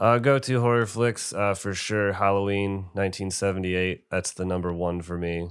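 An ordinary speaking voice comes from a man at a fairly low pitch, talking at a moderate pace with fairly even intonation and hardly any pauses. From Binghamton, New York. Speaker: metal band founder and musician. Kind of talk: casual interview chat.

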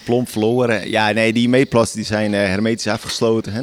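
Against noticeable background noise, a man speaks at a moderate pace with a fairly low pitch and monotone, flat intonation. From Friesland. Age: 30s. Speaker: dairy farmer. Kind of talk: field interview. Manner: halting.

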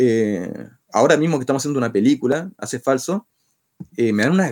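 A man with a medium pitch. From Chile. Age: 30s. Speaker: rock band singer. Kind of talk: interview. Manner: halting, many repetitions.

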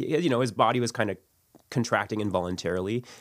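A man with a Canadian accent talks at a fairly quick pace in a fairly low voice. His is a plain, everyday voice with ordinary pitch variation. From Ontario, Canada (St. Catharines). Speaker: church member and father. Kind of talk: personal testimony interview.

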